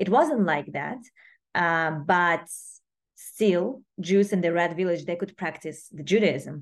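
A woman with a Russian accent talks at a fairly slow pace with long, frequent pauses, a fairly low pitch and ordinary pitch variation against a quiet background. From Russia, Moscow. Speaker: student organization president. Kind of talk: interview. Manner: halting.

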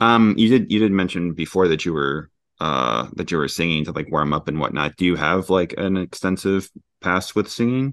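Over a quiet background, a man with very deep, low pitch speaks at a moderate pace with lively intonation. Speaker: podcast host. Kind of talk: interview conversation. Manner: casual, hesitant with fillers.

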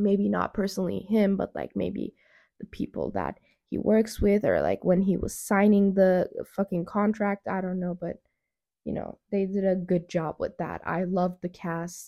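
A woman at a moderate pace, in a very clean recording with a silent background and a dry, close sound with no echo. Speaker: podcast host. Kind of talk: casual chat. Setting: home recording with new budget microphone. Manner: rambling, frequent fillers.

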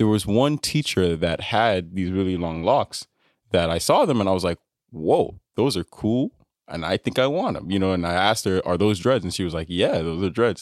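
With an American accent, a man speaks at a moderate pace in a very deep, low pitch with ordinary pitch variation. The sound is dry and close, with no echo. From US, Nigerian parents. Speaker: data annotator and musician. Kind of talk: casual chat.

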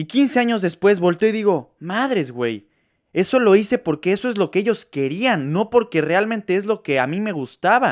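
An animated voice moves at a moderate pace on a very clean recording with a silent background. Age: 20s. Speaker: podcaster, marketing student. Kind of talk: solo monologue podcast.

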